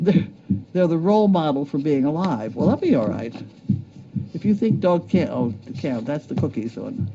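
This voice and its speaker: Through noticeable background noise, a man's fairly high voice swings very widely in pitch. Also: moderate pace. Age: 70s. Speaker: show host reading viewer mail. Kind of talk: casual chat, reading mail aloud.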